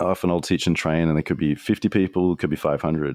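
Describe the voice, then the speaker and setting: In a very clean recording with a silent background and a dry, close sound with no echo, a man with an Australian accent speaks at a moderate pace in a very deep, low pitch. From Australia, Sydney. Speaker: strategist, trainer and podcaster. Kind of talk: podcast interview. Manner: little facial movement when speaking.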